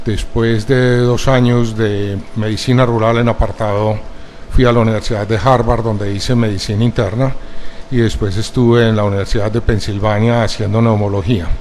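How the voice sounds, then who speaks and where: Amid noticeable background noise and audible room echo, a man speaks at a moderate pace and medium pitch with monotone, flat intonation. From Colombia, Medellín. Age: 70s. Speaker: pulmonologist, expert witness. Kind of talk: court testimony. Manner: formal.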